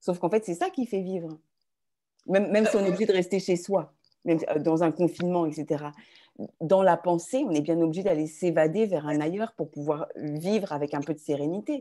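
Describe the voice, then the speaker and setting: Recorded very cleanly against a silent background, a woman speaks at a fairly quick pace with a fairly low pitch, a dark, mellow tone and ordinary pitch variation. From France, Touraine. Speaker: writer and actress, activist. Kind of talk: interview conversation.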